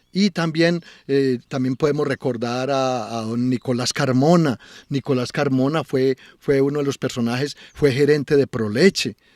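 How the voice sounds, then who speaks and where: This man speaks at a medium pitch with fairly even intonation, and the sound is dry and close with no echo. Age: 60s. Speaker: local culture and tourism promoter. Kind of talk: interview. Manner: halting, many repetitions.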